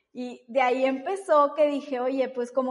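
A fairly slow-paced woman's voice, high in pitch. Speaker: baker and mother. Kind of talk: interview.

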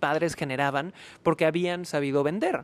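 On a very clean recording with a silent background, a man talks at a moderate pace and a high pitch. The sound is dry and close, with no echo. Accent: Mexican. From Mexico, Cancún. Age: 30s. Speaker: sales trainer. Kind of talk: interview.

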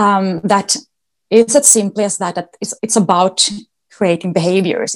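This woman speaks with a Swedish accent. Her pitch is medium, with ordinary variation. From Sweden. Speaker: dog agility competitor and trainer. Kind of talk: interview. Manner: hesitant, with many fillers.

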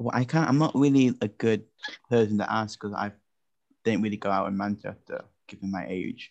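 A man with a British accent speaks at a fairly low pitch with ordinary pitch variation. His pace is fairly quick, though broken by long, frequent pauses. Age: young (19). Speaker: podcast host. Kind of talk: casual chat. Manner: laughs often.

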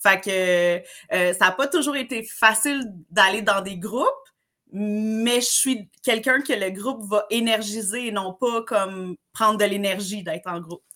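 A woman speaks at a fairly slow pace in a bright, sharp tone. Her fairly high pitch shows ordinary variation. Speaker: summer camp trainer. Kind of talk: casual interview. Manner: animated.

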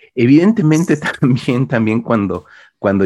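A man with a Mexican accent talks at a fairly quick pace with lively intonation against a quiet background. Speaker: podcast host, horror film critic. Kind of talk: casual chat.

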